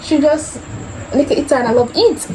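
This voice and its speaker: A woman with a Jamaican accent and lively intonation, over noticeable background noise. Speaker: YouTuber. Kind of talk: casual chat.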